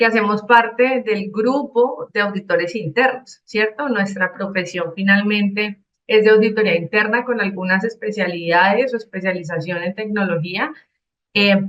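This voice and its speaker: This woman's voice sits at a medium pitch. She speaks at a fairly slow pace. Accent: Cali. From Colombia, Cali. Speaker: IT auditor and consultant. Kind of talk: conference talk.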